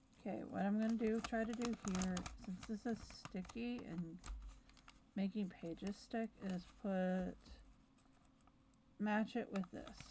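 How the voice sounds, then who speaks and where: A woman with a medium pitch and a dark, mellow tone speaks somewhat breathily at a fairly slow pace, her intonation fairly even and broken by long, frequent pauses. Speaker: planner video creator. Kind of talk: casual chat. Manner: chatty.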